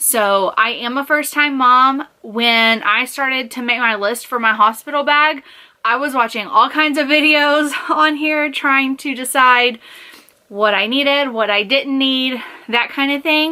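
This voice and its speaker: Raising and projecting her high-pitched voice, a woman talks at a fairly slow pace with ordinary pitch variation. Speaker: vlogger. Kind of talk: casual show-and-tell vlog. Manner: casual, chatty.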